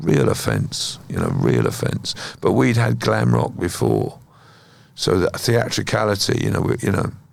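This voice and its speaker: Over noticeable background noise, a man with a very deep, low pitch talks at a moderate pace, his pitch swinging very widely. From southern England (Kent). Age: 60s. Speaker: musician. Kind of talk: interview conversation.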